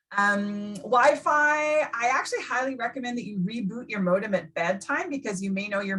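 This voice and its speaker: With lively intonation, a woman speaks in a fairly high voice that has a bright, sharp tone. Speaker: career centre workshop presenter. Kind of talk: online workshop presentation. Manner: fast.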